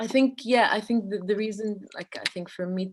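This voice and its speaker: This very clean recording, with a silent background, captures a woman whose pitch varies in an ordinary way. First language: not English. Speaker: artist. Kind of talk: casual conversation. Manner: halting, many repetitions.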